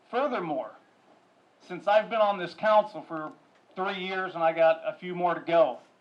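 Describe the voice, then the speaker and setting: The voice is loud, with ordinary pitch variation and long, frequent pauses. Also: man, high pitch for a man, moderate pace. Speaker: city council member. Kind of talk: public meeting remarks. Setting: council chamber with audience.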